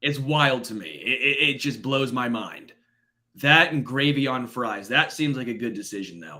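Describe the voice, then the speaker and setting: With an American accent, a man talks at a moderate pace in a medium pitch, his bright, sharp tone showing vocal fry, ordinary pitch variation and big swings in loudness. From Kansas City, US Midwest. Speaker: sports podcast host. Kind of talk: casual chat. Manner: animated.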